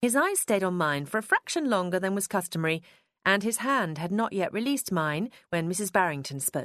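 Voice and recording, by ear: Lively intonation, a quiet background, and reading aloud in a natural voice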